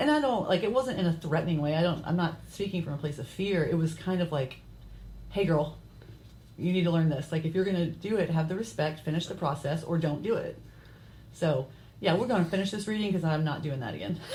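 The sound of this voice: A woman speaks at a very fast pace, somewhat breathy and fairly low in pitch. Her tone is dark and mellow, with ordinary pitch variation.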